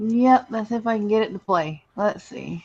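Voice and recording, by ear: A man with a high pitch and ordinary pitch variation talks at a moderate pace, his slightly mellow tone carrying vocal fry and a slightly husky edge.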